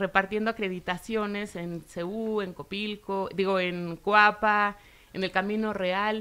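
This woman has a fairly high pitch and a bright, sharp tone. She speaks at a fairly slow pace. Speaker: sports show host. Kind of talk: interview.

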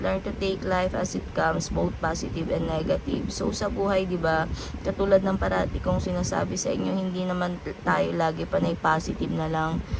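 Noticeable background noise sits under speech delivered at a fairly quick clip. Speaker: tarot reader. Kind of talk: tarot reading monologue. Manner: casual, many fillers.

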